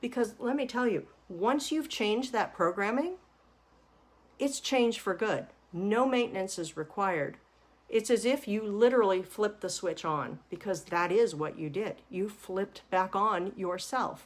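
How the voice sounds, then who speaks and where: Here is a woman with a normal speaking voice, pitched fairly high. Her intonation is lively and her pace moderate. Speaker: money mindset coach. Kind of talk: webinar-style lecture.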